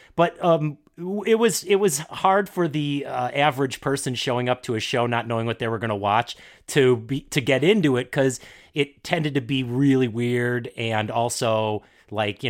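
On a very clean recording with a silent background, a man talks at a moderate pace in a medium pitch. He has a normal speaking voice, with big swings in loudness. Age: 40s. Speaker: podcaster and improv performer. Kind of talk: casual chat.

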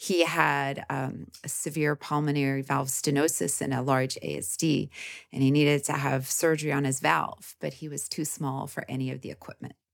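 On a very clean recording with a silent background, a woman with an American accent speaks at a moderate pace in a very deep, low voice, with vocal fry and fairly even intonation. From Canada, Midwest (prairies). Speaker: gynecologist and author. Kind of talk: interview.

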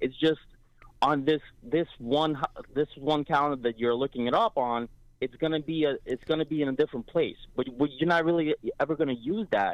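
A man talks at a fairly quick pace in an ordinary speaking voice. His pitch is fairly high, with ordinary pitch variation. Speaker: caller. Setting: phone call.

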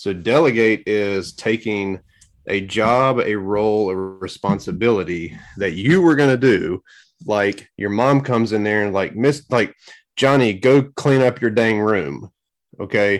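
On a very clean recording with a silent background, a man uses an ordinary speaking voice, fairly low in pitch with ordinary pitch variation, at a fairly slow pace. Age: 30s. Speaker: lawn care business owner and YouTuber. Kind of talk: podcast interview. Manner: filler-heavy, casual.

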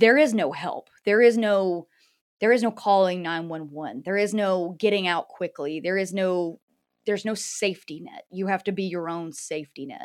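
A woman's normal speaking voice with an American accent, medium pitch, ordinary pitch variation and big swings in loudness, in a very clean recording with a silent background. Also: moderate pace. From US South, North Carolina. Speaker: podcast host and cryptid investigator. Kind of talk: interview.

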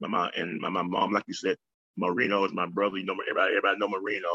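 Dry and close, a man's voice is heard with no echo at all. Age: 50s. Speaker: retired ordained minister and street preacher. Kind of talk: interview, personal testimony. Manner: halting with frequent fillers and repetitions.

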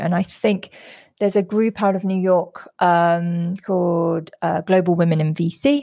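In a London accent, a woman with a fairly low pitch and a dark, mellow tone is heard in a dry, close sound with no echo. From London, England. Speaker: venture capital investor and founder. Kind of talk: interview. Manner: halting, many fillers.

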